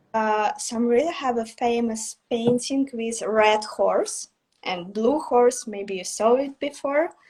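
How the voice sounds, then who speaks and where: A woman with a Russian accent, high-pitched, very slow, with ordinary pitch variation. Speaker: artist. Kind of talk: interview. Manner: halting.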